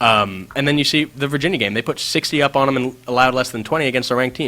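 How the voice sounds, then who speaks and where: Very fast speech comes from a man with a bright, sharp tone. His pitch variation is ordinary. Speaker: college radio host. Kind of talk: sports talk banter.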